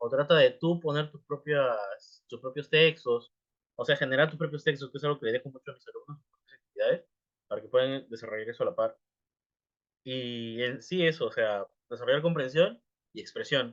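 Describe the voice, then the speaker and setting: At a fairly quick pace, a man speaks with fairly high pitch, ordinary pitch variation and big swings in loudness. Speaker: English teacher. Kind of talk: live class talk. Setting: livestream. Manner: fast.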